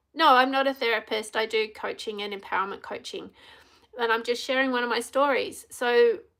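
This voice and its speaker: Loud and quick, a woman's high, bright, sharp voice shows ordinary pitch variation in a very clean recording with a silent background. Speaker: empowerment coach. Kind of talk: live stream talk. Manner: animated.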